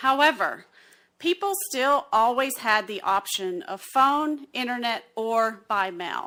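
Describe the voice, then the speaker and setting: Speaking in an Alabama accent, a woman with a fairly high pitch and a bright, sharp tone uses lively intonation on a very clean recording with a silent background. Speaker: census partnership specialist. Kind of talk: presentation at county meeting.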